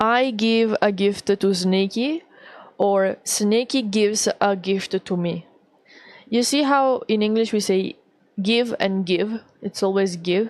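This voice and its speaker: A woman with an Italian accent, medium in pitch, very slow, very even in loudness, with ordinary pitch variation. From Italy. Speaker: VTuber artist streamer. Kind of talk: casual livestream chat. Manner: halting, many fillers.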